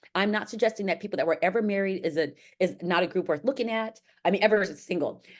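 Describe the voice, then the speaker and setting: Very fast speech in an American accent. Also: woman. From US West Coast, Los Angeles. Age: 50s. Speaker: sociology professor. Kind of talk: academic lecture.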